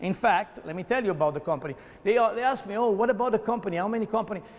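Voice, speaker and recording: Speaking very fast with an Italian accent, a man uses a high voice and lively intonation. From Italy. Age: 50s. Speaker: mayoral candidate. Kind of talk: interview. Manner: halting, with many fillers and repeats; animated.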